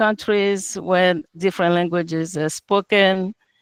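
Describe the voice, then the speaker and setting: A woman speaks at a medium pitch in a monotone, flat intonation. The recording is very clean with a silent background and a dry, close sound with no echo. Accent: non-native. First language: not English. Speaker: entrepreneur presenting business, translator and interpreter. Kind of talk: business pitch presentation. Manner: halting, with filler words.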